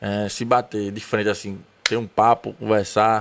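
A man's normal speaking voice at medium pitch. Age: 30s. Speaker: podcast host. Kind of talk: casual interview chat. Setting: studio.

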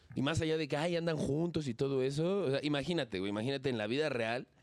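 Very rapid speech from a man, pitched fairly high, with normal rise and fall in tone. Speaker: podcast co-host. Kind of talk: casual chat.

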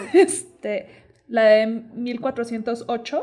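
A woman with a Mexican accent, a fairly high pitch and ordinary pitch variation. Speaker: podcast co-host. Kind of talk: casual chat.

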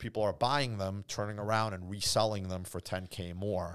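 A man with an unremarkable speaking voice talks at a moderate pace with a fairly low pitch and ordinary pitch variation, in a very clean recording with a silent background. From immigrant, grew up in Boston area. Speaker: car dealership owner. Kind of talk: casual chat. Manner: laughs often.

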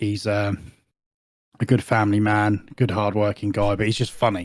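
Very clean recording of a male voice against a silent background. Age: 40s. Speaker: gaming community founder. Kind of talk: casual chat.

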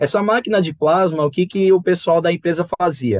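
A man speaks at a moderate pace with a high pitch. His pitch varies in an ordinary way, and the sound is dry and close with no echo. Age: 20s. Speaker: electrical designer and church youth teacher. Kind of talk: casual Bible study discussion.

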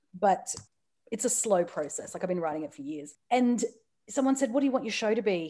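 This woman talks at a fairly quick pace in an Australian accent, her pitch fairly high with a dark, mellow tone. Her pitch swings very widely. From Australia, Newcastle. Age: 30s. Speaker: comedian and author. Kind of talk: casual chat. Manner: animated.

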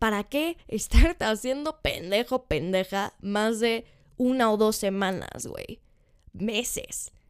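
Over a silent background in a very clean recording, a woman with a Mexican accent speaks very slowly at a fairly high pitch with lively intonation. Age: 20s. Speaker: podcast host. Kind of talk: casual monologue.

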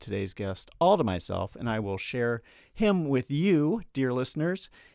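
A man with an American accent at medium pitch and moderate pace, on a very clean recording with a silent background. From North Carolina, Charlotte. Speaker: comedian and podcast host. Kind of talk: scripted show intro; casual interview chat.

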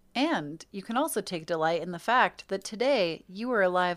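In an American accent, a woman speaks at a medium pitch and moderate pace with lively intonation and big swings in loudness, in a normal speaking voice. The recording is very clean, with a silent background. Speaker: podcast co-host. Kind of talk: casual chat.

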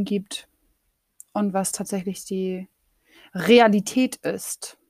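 A somewhat breathy woman is heard on a very clean recording with a silent background and a dry, close sound free of echo. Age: 30s. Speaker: podcaster and master's student. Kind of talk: casual solo monologue. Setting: home office. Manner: very colloquial, laughing often.

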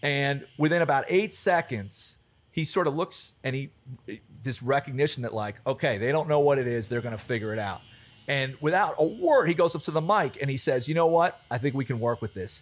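With an American accent, a man talks fairly quickly in a normal speaking voice, his fairly high pitch moving with lively intonation. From US Mid-Atlantic (Alexandria, Virginia, near DC). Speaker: bar manager. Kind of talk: casual chat.

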